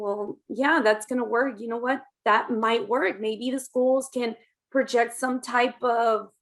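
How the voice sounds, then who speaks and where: At a moderate pace, a woman with an American accent talks in a fairly high pitch, her intonation monotone and flat. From Texas, Dallas. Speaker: parent and educator. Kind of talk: podcast interview.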